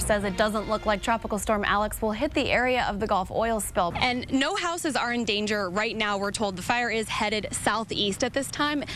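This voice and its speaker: Music plays in the background. The speech is fairly quick, with fairly even intonation. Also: woman. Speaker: TV news reporter. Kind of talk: TV news report.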